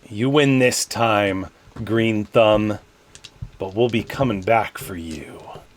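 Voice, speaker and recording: A put-on character voice growls its way through the words at a very slow pace. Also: man, fairly low pitch for a man. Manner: snarling, menacing.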